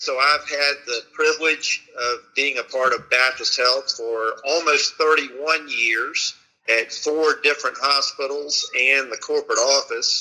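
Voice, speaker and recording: A man speaks with a Southern US accent. His pace is very slow. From US South (Florida/Alabama). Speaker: hospital executive. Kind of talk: interview.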